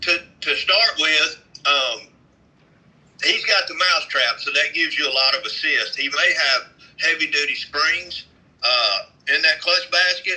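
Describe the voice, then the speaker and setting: A man talks at a fairly slow pace in a Southern US accent, with long, frequent pauses. Noticeable background noise sits behind him. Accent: Southern twang. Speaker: vintage motorcycle mechanic. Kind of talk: casual chat.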